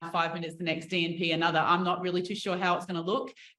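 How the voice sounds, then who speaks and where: Audible room echo surrounds a woman whose voice sits at a medium pitch. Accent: Australian. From Australia. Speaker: professional basketball player. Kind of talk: media interview. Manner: casual, chatty.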